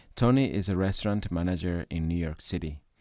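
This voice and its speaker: A man with a Spanish accent speaks at a moderate pace in a very deep, low voice with a dark, mellow tone. The recording is very clean, with a silent background. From Ecuador. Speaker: podcast host, activist. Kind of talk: scripted narration.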